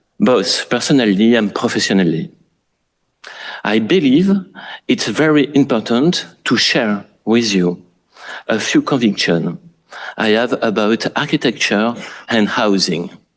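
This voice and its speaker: With a strong French accent, a man speaks fairly slowly at medium pitch, his intonation lively, his loudness very even, and his pauses long and frequent. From France. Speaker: architect. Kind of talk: lecture. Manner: formal.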